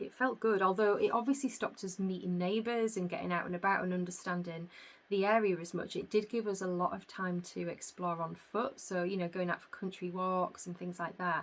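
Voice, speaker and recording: Speaking in a Yorkshire accent, a woman talks at a fairly quick pace with hardly any pauses and fairly even intonation. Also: medium pitch for a woman. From northern England, York. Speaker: podcast host, yarn business owner. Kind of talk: casual chat. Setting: home recording. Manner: hesitant, many fillers.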